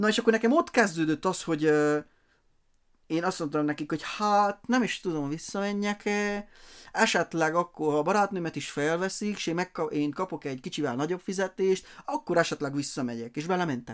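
Captured in a very clean recording against a silent background, a man speaks at a high pitch and a moderate pace with ordinary pitch variation. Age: 20s. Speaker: design company owner. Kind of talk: casual interview.

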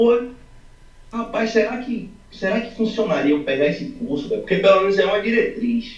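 With lively intonation at a moderate pace, a man talks in a high pitch, with audible room echo and noticeable background noise. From Brazil, Salvador (Bahia). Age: 20s. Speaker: amateur accordion student. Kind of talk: interview. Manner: casual, slangy.

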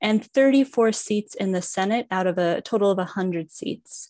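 The speaker has an unremarkable speaking voice, talking at a fairly slow pace with ordinary pitch variation. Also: woman. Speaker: political scientist. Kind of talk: panel discussion. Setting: video call.

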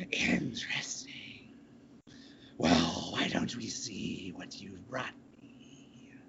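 In a put-on character voice, the speaker cackles with a raspy sound at a very slow pace, leaving long, frequent pauses over light background noise. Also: man. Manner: cackling.

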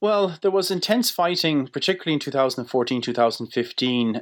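A man is speaking. He has an Irish accent. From Ireland. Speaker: politics professor. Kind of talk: interview. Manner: hesitant, many fillers and repetitions.

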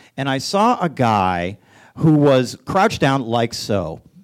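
The pitch swings very widely around a medium level. He is a man with an American accent. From Boston. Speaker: animator. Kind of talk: storytelling on stage. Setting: theater stage with audience.

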